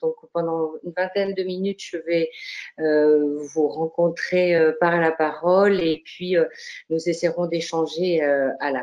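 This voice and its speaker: Her voice sits fairly low for a woman, and she speaks at a very slow pace. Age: 60s. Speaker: retired psychogeriatric doctor, association president. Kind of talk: online conference talk. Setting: online seminar. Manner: hesitant, many fillers.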